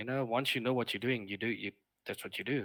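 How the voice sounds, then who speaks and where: Over a very clean recording with a silent background, a man speaks with a South African accent. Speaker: streamer, former wildlife lodge worker. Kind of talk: casual chat.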